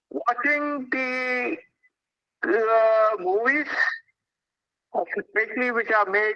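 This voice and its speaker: A man's raised, projected voice at an extremely high pitch, bright and sharp in tone, with lively intonation and a very slow pace. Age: 70s. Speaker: invited speaker at a youth event. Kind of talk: public talk to schoolchildren.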